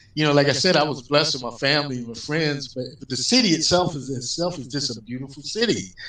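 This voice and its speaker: In a room with audible echo, a man speaks at a fairly quick pace in a fairly high pitch. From US Midwest, St. Louis, Missouri. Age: 60s. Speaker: jazz musician. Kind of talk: casual interview chat.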